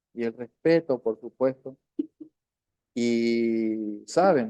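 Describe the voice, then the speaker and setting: A man's medium-pitched voice, dark and mellow in tone, in a dry, close sound with no echo. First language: Qom (Toba) (speaking Spanish). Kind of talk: online language class. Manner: halting, with frequent fillers and repetitions.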